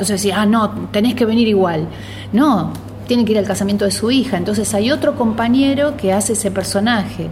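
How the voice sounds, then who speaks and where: A woman speaks at a medium pitch and a fairly quick pace with very even loudness and ordinary pitch variation. Noticeable background noise and audible room echo fill the recording. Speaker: community theatre organizer. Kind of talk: radio interview.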